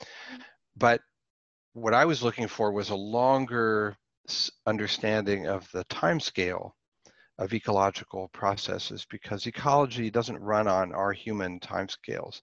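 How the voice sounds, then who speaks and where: With an American accent and a normal speaking voice, a man talks at a moderate pace and a fairly low pitch with ordinary pitch variation, the sound dry and close with no echo against a quiet background. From Pittsburgh, US. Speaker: professor. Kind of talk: interview.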